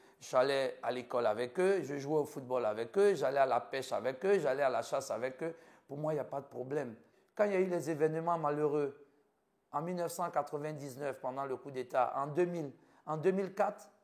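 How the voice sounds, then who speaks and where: A fairly quick man's voice in an Ivorian accent, fairly high in pitch, with ordinary pitch variation. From Ivory Coast. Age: 50s. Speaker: physician. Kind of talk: interview.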